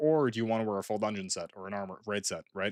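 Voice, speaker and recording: Recorded very cleanly against a silent background, the voice moves at a very fast pace. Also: man. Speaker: gaming streamer. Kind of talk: casual live stream talk.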